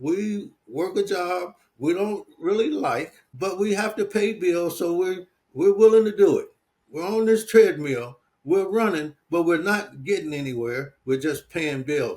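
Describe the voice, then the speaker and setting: A man with an American accent and a high pitch speaks at a fairly slow pace with lively intonation. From US Midwest, Detroit. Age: 70s. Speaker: entrepreneur and business coach. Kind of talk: interview.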